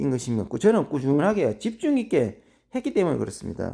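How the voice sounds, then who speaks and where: The voice has a dark, mellow tone and very wide pitch swings, moving at a fairly quick pace on a very clean recording with a silent background. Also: man. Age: 50s. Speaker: amateur marathon runner. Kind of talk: casual monologue.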